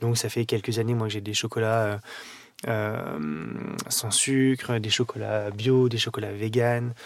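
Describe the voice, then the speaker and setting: Noticeable background noise surrounds a man speaking at a fairly slow pace. His pitch is medium and his intonation fairly even. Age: 30s. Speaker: pastry chef. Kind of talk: interview. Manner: hesitant, with fillers.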